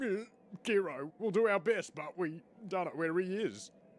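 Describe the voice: In a cartoonish character voice, a man talks at a moderate pace with a high pitch.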